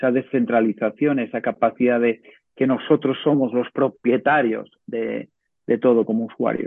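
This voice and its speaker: The man's pitch is medium and his intonation monotone and flat. He talks at a moderate pace. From Menorca, Spain. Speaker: tech entrepreneur. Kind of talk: course talk.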